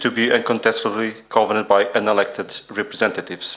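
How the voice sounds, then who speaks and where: A man speaks at a moderate pace and a medium pitch. Noticeable background noise runs behind him. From Portugal. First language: non-English. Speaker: conference speaker. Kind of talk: reading aloud.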